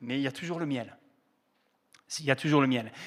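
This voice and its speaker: On a very clean recording with a silent background, a man speaks with lively intonation in a southern French accent. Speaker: pastor. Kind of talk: sermon. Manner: hesitant, many fillers.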